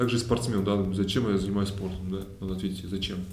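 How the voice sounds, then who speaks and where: A fairly low-pitched man talking very fast with fairly even intonation. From Russia, Kemerovo. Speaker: former volleyball player turned businessman. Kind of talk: casual interview.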